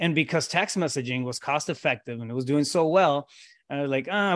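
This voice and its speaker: A man speaks at a very fast pace with a Spanish accent, his pitch fairly high and its variation ordinary. The recording is very clean, with a silent background. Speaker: real estate coach. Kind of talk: casual interview. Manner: informal, filler-heavy with repetitions.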